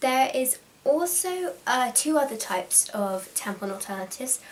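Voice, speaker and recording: Through noticeable background noise, a woman with a British accent speaks with lively intonation. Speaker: vlogger. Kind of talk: tutorial. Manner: fast.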